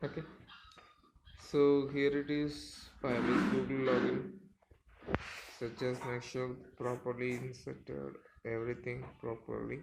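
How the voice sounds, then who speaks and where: Intonation stays fairly even. Noticeable background noise and audible room echo fill the recording. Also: man. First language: not English. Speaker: programming tutor. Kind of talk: tutorial. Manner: halting, many fillers.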